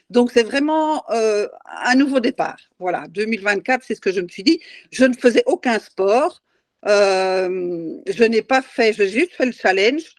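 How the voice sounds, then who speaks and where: A woman speaks at a fairly slow pace with a fairly high pitch and lively intonation, recorded with a dry, close sound and no echo. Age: 60s. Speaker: challenge participant. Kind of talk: testimony. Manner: halting.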